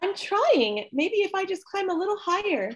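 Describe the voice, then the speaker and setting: A female-sounding, squeaky put-on character voice speaks at an extremely high pitch and a moderate pace. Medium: stage play. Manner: sweet, breathy.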